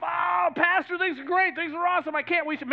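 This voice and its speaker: A man puts on a character voice at an extremely high pitch, talking at a fairly quick pace over clear background noise. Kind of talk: sarcastic, sing-song. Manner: mocking, exaggerated cheer.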